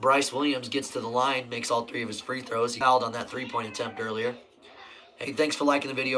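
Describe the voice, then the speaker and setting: Against noticeable background noise, a man with an American accent talks at a fairly quick pace. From Nebraska. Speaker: sports live streamer. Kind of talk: live game commentary. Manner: casual.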